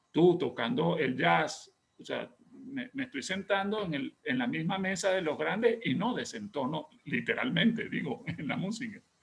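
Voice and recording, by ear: A man's fairly bright tone with vocal fry and lively intonation, amid audible room echo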